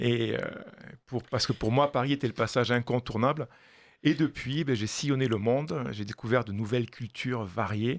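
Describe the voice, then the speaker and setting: At a moderate pace, a man talks in a medium pitch. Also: ordinary pitch variation. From southwestern France, Toulouse. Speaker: pastry chef and chocolatier consultant. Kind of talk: radio interview. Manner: hesitant, many fillers.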